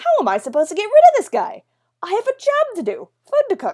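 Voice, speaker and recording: In a put-on character voice, a woman squeaks at an extremely high pitch, talking at a fairly quick pace with very wide pitch swings, the sound dry and close with no echo. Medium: solo performance. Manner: blithe, self-assured.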